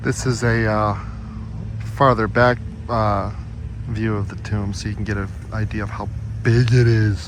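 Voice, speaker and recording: Fairly low-pitched male speech at a moderate pace, flat and monotone, with long, frequent pauses and audible room echo. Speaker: travel vlogger visiting presidential graves. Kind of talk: casual vlog narration. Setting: outdoors at memorial, then inside tomb. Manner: quiet.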